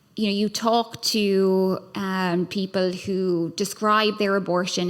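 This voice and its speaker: On a very clean recording with a silent background, a woman with an Irish accent speaks at a very slow pace, medium pitch and fairly even intonation. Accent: Irish accent, noticeable. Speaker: human rights lawyer and scholar, panelist. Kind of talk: panel discussion. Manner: hesitant, many fillers.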